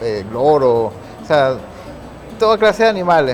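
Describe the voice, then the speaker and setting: Music plays in the background. A man with a fairly high pitch speaks with lively intonation. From Venezuela, Guayana region (Upata), born in Caracas. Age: 40s. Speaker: photographer. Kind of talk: TV interview.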